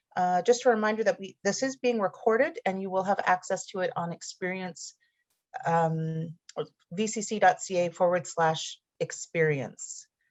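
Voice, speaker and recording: With a normal speaking voice, a woman talks at a moderate pace, her pitch medium and its variation ordinary. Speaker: college event moderator. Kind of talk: online info session introduction.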